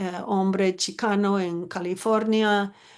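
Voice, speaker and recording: A woman's medium-pitched voice, fairly even in intonation, comes over a quiet background. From United States. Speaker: anthropologist and author. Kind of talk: panel discussion.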